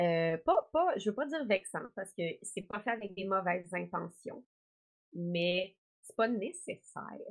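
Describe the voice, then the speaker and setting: A woman's animated voice with lively intonation. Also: medium pitch for a woman, big swings in loudness. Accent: Quebec. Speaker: actress and gaming content creator. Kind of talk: interview.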